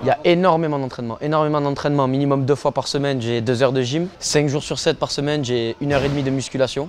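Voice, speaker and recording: A man's fairly high voice at a very fast pace, fairly even in intonation with hardly any pauses, over noticeable background noise. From Marseille, southern France. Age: 20s. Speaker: cliff diver. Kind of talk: interview. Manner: casual, hesitant with fillers.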